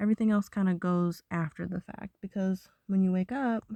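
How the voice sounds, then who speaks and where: A woman's somewhat breathy voice with a dark, mellow tone, at a moderate pace with fairly even intonation, in a dry, close sound with no echo. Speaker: vlogger. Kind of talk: casual monologue.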